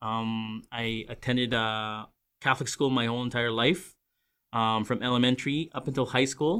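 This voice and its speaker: With a Canadian accent, a man of medium pitch talks at a moderate pace using fairly even intonation. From Greater Vancouver, Canada. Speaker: church ministry director. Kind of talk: casual interview. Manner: halting.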